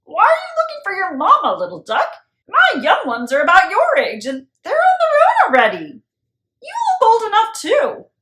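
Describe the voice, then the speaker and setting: A woman uses a put-on character voice with an extremely high pitch. She speaks at a moderate pace with very wide pitch swings. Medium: read story. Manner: matter-of-fact.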